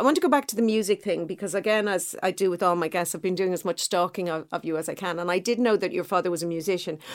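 A woman with an Irish accent talks at a very fast pace with hardly any pauses. Her pitch sits in the medium range. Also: ordinary pitch variation. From Ireland, east coast. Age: 50s. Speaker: podcast host. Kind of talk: interview.

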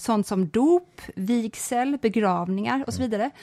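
A woman talks at a moderate pace in a fairly high voice with lively intonation and a dry, close sound with no echo. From rural Sweden. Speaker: podcast co-host. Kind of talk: casual chat. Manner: sighing exhalations at the start.

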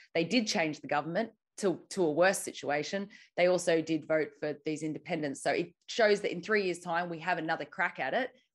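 Against a quiet background, a woman with an Australian accent speaks at a fairly quick pace, her fairly low pitch showing ordinary pitch variation. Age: young. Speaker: activist and journalist. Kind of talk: interview. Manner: halting.

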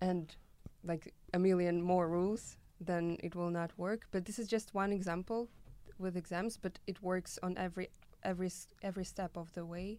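With a Russian accent, a woman speaks at a moderate pace in a dark, mellow tone at medium pitch, her intonation monotone and flat. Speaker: student who did Erasmus exchange. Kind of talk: casual interview chat.

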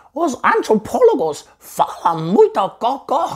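A squeaky, high-pitched put-on character voice with very wide pitch swings at a fairly slow pace

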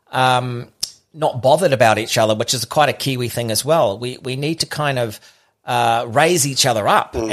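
Speaking in a New Zealand accent, a man keeps a medium pitch with ordinary pitch variation. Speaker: podcaster. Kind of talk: casual chat. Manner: halting.

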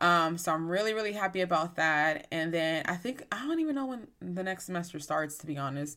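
This woman's voice sits fairly low, with a bright, sharp tone. She sounds animated, and her pitch varies in an ordinary way. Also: very clean recording, silent background. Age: 20s. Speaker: podcast host. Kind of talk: casual solo chat.

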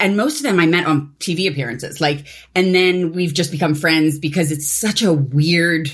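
At a moderate pace, a woman with a Philadelphia accent speaks in a very deep, low pitch. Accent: Philadelphia American. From US, Philadelphia. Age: 40s. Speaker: activist. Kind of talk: interview.

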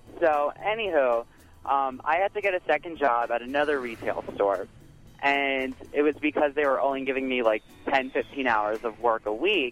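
Music plays in the background as a man with a fairly high voice speaks in lively intonation. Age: 20s. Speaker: radio call-in caller. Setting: phone. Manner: casual, chatty, uses filler words.

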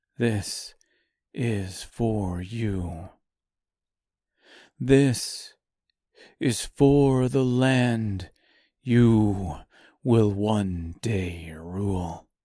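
On a very clean recording with a silent background, a man in a put-on character voice speaks very slowly at a fairly low pitch, with ordinary pitch variation and long, frequent pauses. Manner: calm.

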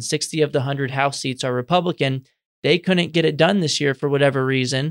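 A man with an American accent speaks at a fairly quick pace in a fairly high voice. The recording is very clean and dry, with a close sound, no echo and a silent background. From Texas, San Antonio. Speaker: education policy researcher. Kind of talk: interview. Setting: in-person studio. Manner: energetic.

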